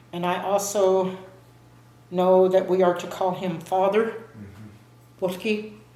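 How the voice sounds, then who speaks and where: Over noticeable background noise, a woman with a medium pitch speaks very slowly with fairly even intonation. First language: Muscogee (Creek). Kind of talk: interview answer.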